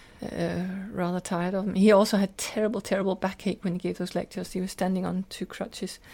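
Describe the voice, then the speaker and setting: A woman speaks very fast in a dark, mellow tone with vocal fry and a flat, monotone delivery, on a very clean recording with a silent background. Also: medium pitch for a woman. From Scotland, Glasgow. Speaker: spiritual teacher and translator. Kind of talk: interview conversation. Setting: summer cottage.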